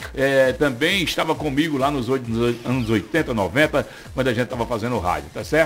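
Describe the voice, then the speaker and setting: Noticeable background noise runs under a man's voice. He speaks at medium pitch and a moderate pace, with ordinary pitch variation. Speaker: radio host. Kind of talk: morning radio show.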